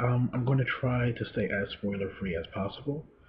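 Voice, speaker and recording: Quiet and at a moderate pace, a man talks at a medium pitch with ordinary pitch variation. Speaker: movie reviewer. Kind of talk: solo video review. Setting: home, late at night.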